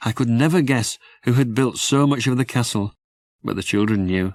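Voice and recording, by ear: At a moderate pace, a man speaks at medium pitch with ordinary pitch variation.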